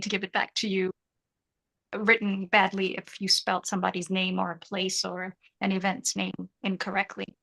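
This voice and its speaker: Her bright, sharp tone comes through a dry, close sound with no echo as the woman talks at a moderate pace. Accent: non-native. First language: not English. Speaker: freelancing coach. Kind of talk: live group tutorial.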